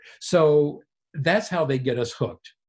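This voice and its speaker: A man's somewhat breathy voice at a fairly slow pace, with lively intonation. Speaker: pediatrics professor and FASD expert. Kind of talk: interview discussion.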